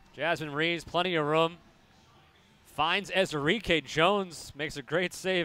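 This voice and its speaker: A man's excited tone over music in the background. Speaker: soccer play-by-play commentator. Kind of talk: live sports commentary, play-by-play over match highlights. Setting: stadium broadcast booth. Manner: clipped, excited calls that build at goals.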